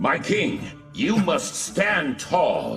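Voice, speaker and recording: A man puts on a character voice. Clear music is heard behind him. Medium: fan dub. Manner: formal, steadfast.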